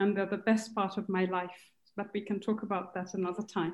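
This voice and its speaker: A woman speaks in a flat monotone at a medium pitch. Her pace is fairly quick. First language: Kikuyu. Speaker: translation studies professor. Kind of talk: panel discussion.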